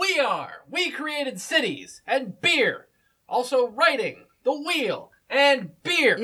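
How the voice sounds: High in pitch and very slow, a put-on character voice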